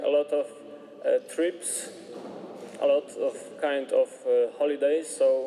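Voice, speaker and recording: Against noticeable background noise, a man with a Polish accent speaks at a very slow pace. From Poland. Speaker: member of religious order. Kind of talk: testimony. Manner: halting.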